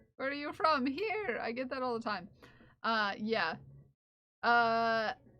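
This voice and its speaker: In an American accent, a woman speaks at a very slow pace. Her voice is high in pitch with lively intonation. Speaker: streamer. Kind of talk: casual chat. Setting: live stream. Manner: halting, many fillers.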